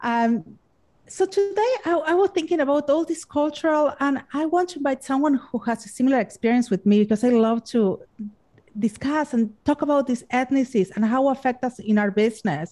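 Speaking in a Spanish accent, a woman uses a high pitch and lively intonation, her tone dark and mellow. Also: fairly quick pace. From Argentina. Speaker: podcast host. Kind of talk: casual interview chat.

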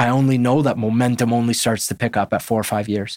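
A man with a Canadian accent talks very fast at a medium pitch in a monotone, flat intonation, on a very clean, dry, close recording with no echo and a silent background. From Canada, Winnipeg. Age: 30s. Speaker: football coach. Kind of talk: interview conversation.

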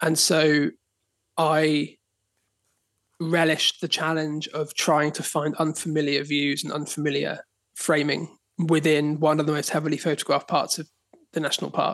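A man with a southern English accent speaks at a moderate pace and fairly high pitch in a monotone with flat intonation, leaving long, frequent pauses against a quiet background. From southern England, Dorset. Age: 30s. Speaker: photographer. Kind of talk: casual chat.

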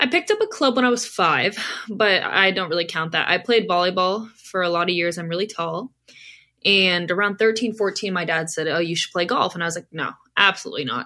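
A woman talks at a fairly quick pace in an American accent. Her tone is bright and sharp, with ordinary pitch variation. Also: medium pitch for a woman. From Southern California. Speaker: college golfer and golf media creator. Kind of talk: casual interview.

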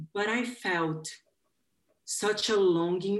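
A woman with a Portuguese accent speaks at a medium pitch. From Brazil. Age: 30s. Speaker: life coach. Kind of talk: interview.

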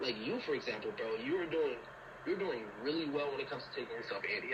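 Noticeable background noise is present throughout. Over it, a man speaks very fast. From Liberia. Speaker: college student athlete. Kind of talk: casual chat.

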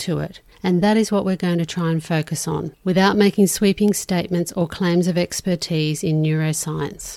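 A woman with a dark, mellow tone and fairly low pitch talks at a moderate pace with fairly even intonation, recorded very cleanly against a silent background. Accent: Australian. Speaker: podcast host. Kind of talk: interview.

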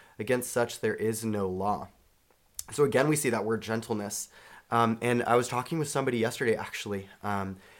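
A man with an American accent speaks at a moderate pace and medium pitch in a plain, everyday voice. The recording is very clean, with a silent background. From Charlotte, North Carolina. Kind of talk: casual chat.

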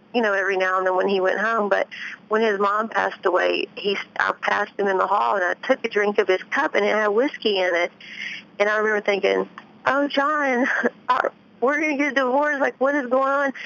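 A woman speaks at a fairly quick pace with very even loudness, a medium pitch, and ordinary pitch variation. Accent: Memphis. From US South, Tennessee near Memphis. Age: 30s. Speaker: author and ex-wife of a pro golfer. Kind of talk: interview.

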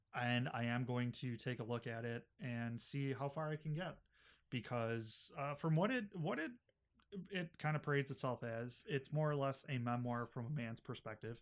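Delivered at a moderate pace, an ordinary speaking voice with an American accent carries ordinary pitch variation. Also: man, medium pitch for a man. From Buffalo, New York. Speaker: librarian, podcast host. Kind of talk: casual chat.

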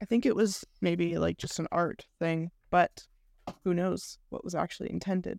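In an unremarkable speaking voice, a woman speaks at a fairly low pitch and a moderate pace with fairly even intonation, the sound dry and close with no echo. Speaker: screenwriter and filmmaker. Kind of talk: casual interview chat.

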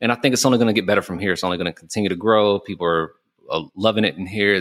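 Talking at a very fast pace with fairly even intonation, a man with an American accent and a fairly low pitch is heard in a very clean recording with a silent background and dry, close sound with no echo. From US South (Georgia). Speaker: podcast host and cigar lounge owner. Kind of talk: casual chat. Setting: recording in his cigar lounge.

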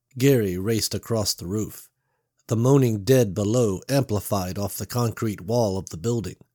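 Background sounds are quiet. An unforced reading voice carries ordinary shifts in pitch.

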